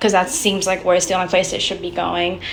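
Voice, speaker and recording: The voice belongs to a woman. Background noise can be clearly heard. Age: young. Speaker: college student vlogger. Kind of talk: casual vlog. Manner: fast. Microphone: muffled, still figuring out audio.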